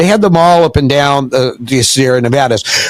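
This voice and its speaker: Over noticeable background noise, a man in an American accent keeps a moderate pace. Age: 70s. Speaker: entrepreneur. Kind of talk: interview.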